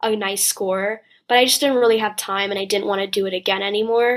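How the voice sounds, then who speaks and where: A woman with a New Jersey accent, monotone, flat intonation, and a fairly quick pace on a very clean recording with a silent background. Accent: American (New Jersey). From New Jersey, US. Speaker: college student. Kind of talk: interview. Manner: frequent fillers and hesitations.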